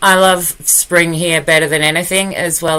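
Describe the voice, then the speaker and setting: A woman with an Australian accent speaks at a moderate pace. Her pitch is very deep and low, and her intonation is monotone and flat. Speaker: performance artist and poet. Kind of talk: casual live stream chat. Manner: warm, friendly.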